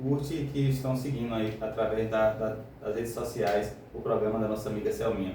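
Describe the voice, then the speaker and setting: Fairly even intonation, with audible room echo and noticeable background noise. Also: man. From Brazil, Northeast (Bahia interior). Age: 30s. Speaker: radio show guest. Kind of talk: radio interview, life story. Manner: hesitant, many fillers.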